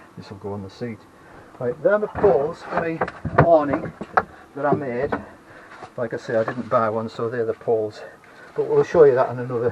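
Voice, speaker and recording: Over noticeable background noise, a man with a medium pitch speaks at a fairly quick pace with lively intonation, big swings in loudness, and long, frequent pauses. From northern England. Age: 70s. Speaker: retired DIY vlogger. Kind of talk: casual video tour. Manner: halting, with many fillers.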